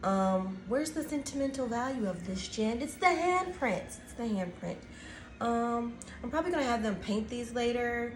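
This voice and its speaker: Soft-spoken, this voice keeps a moderate pace with lively intonation and big swings in loudness, with audible room echo around it. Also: woman, high pitch for a woman. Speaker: teacher and craft video host. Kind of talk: tutorial. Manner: soft-spoken, talking quietly; casual, filler-heavy.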